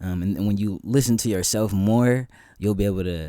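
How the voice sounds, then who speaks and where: A man with an American accent, a dark, mellow tone and fairly even intonation, at a fairly quick pace. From San Francisco Bay Area, California. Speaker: musician and actor. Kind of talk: casual interview chat. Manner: hesitant, many fillers.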